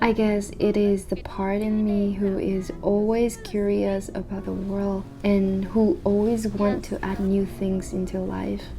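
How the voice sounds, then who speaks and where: A woman with a non-native accent speaks at a fairly slow pace in a medium-pitched, monotone, flat voice, with hardly any pauses. Noticeable background noise and audible room echo are present. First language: not English. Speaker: vlogger. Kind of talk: reflective vlog monologue.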